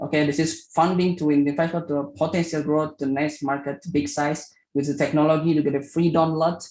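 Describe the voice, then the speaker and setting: With an Indonesian accent, a man talks at a fairly quick pace in a fairly high pitch, his intonation monotone and flat, with hardly any pauses. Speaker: startup founder. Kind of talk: pitch presentation. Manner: halting.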